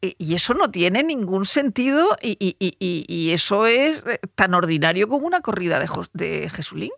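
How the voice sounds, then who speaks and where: A woman speaks at a fairly slow pace and a medium pitch, with vocal fry and very wide pitch swings. The sound is dry and close, with no echo. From Murcia, Spain. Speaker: journalist. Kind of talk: casual chat. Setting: studio.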